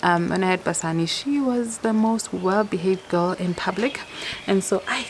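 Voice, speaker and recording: A woman is speaking. Noticeable background noise runs underneath. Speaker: mom vlogger. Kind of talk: casual vlog talk to camera. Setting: outdoors. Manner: fast.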